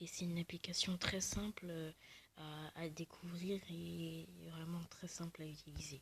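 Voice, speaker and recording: Soft-spoken, somewhat breathy delivery at a fairly slow pace, in a monotone with flat intonation. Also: woman, fairly low pitch for a woman. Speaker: video creator. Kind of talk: tutorial. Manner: halting.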